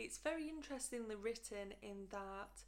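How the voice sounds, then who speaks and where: A woman speaks with a British accent. Her pitch is medium and her pace moderate. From United Kingdom. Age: 20s. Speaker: book vlogger. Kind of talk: casual book review to camera.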